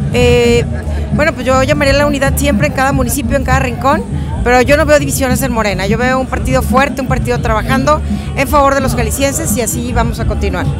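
Loud music plays behind a woman talking at a very fast pace. The sound is dry, with no echo. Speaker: politician. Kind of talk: interview answer to press. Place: street. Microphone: lapel.

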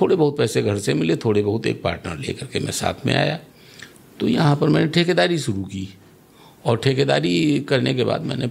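Moving at a fairly slow pace, a man's voice makes very wide pitch swings. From Lucknow, Uttar Pradesh, India; Uttar Pradesh. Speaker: local politician. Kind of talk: interview. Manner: assertive. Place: studio. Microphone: studio mic.

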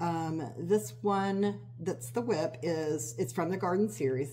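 Very wide pitch swings against audible room echo. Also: woman. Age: 50s. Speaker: cross-stitch video creator. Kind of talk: casual show-and-tell vlog. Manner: rambling with many fillers.

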